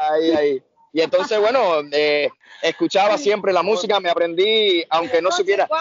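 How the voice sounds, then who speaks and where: The loudness stays very even while the speech keeps a moderate pace. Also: man, high pitch for a man, ordinary pitch variation. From Brazil and Cuba. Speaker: tribute band singer. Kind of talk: casual chat. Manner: quiet.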